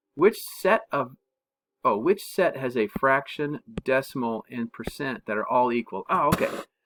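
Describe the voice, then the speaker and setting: Recorded with a dry, close sound and no echo, a fairly high-pitched man talks at a moderate pace with very wide pitch swings. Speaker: math teacher. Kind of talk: tutorial. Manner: casual, thinking aloud with fillers.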